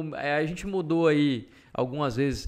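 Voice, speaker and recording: Recorded very clean against a silent background, a man speaks at a fairly slow pace with a fairly high pitch. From Salvador, Bahia, Brazil. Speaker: podcast host and journalist. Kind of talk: interview.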